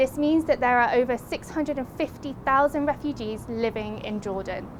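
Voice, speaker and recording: The woman's voice sits high in pitch with ordinary pitch variation. She talks at a moderate pace over noticeable background noise. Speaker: aid agency officer. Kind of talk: on-location documentary presenting.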